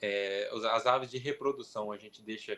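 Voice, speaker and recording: A man is speaking. His tone is bright and sharp. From interior of São Paulo, Brazil. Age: 20s. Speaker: poultry breeder. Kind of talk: interview.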